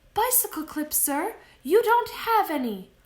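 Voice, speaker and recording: Putting on a squeaky character voice at an extremely high pitch, a woman speaks at a moderate pace with very wide pitch swings. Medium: read story. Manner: deferential, polite.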